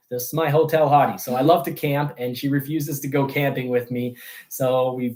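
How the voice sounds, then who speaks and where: With a French accent, a man talks at a fairly quick pace in a fairly high voice. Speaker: car review youtuber. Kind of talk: livestream show intro. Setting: livestream.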